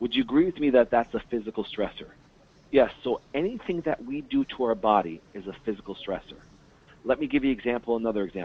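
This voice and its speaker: Here a man talks at a very fast pace. His voice is medium in pitch, with lively intonation. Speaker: naturopath and chiropractor. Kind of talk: webinar presentation. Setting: phone call webinar. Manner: animated.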